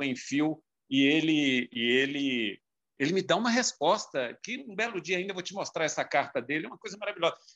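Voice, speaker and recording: A man with a Minas Gerais accent and a fairly high pitch speaks at a moderate pace with lively intonation. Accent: Brazilian Portuguese, mineiro. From Minas Gerais, Brazil (João Monlevade). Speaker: marketing and communications professional. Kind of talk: casual interview chat. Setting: remote call.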